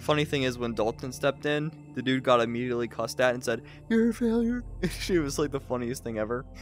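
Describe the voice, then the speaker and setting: Over music in the background, a man talks very fast with ordinary pitch variation. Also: medium pitch for a man. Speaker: convention reviewer, channel host. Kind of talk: casual chat. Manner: halting.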